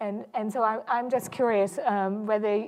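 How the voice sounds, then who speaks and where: A woman with a German accent, medium in pitch, monotone and flat, fairly slow, before a quiet background. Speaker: historian, panel moderator. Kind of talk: panel discussion moderation. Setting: lecture hall with audience. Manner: halting, many fillers.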